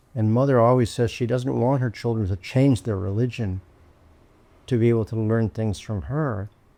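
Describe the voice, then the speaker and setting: In a very clean recording with a silent background, a man speaks at medium pitch and a moderate pace, his tone dark and mellow. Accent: American. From North America. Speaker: men's work practitioner. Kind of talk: casual chat.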